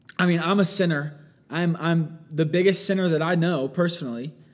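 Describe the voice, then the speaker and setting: The speaker is a man. His pitch is high. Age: 20s. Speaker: college pastor and podcast host. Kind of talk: solo podcast monologue. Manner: casual, filler-heavy.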